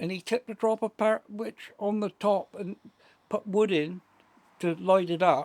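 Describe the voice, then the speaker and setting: The speaker has a West Country accent. The pace is fairly slow. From South West England. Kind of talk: interview answer.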